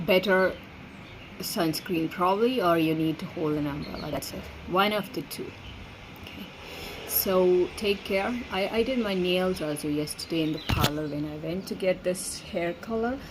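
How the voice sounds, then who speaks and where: Over noticeable background noise, a woman talks at a moderate pace. Her pitch is medium, with ordinary variation. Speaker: vlogger. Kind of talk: casual monologue vlog. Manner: halting with repetitions.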